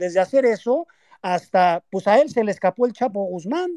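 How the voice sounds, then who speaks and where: With a dark, mellow tone, a man talks at a moderate pace in a high pitch. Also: dry, close sound with no echo. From Mexico. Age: 40s. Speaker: activist son of a former prisoner. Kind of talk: online panel interview. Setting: online audio space.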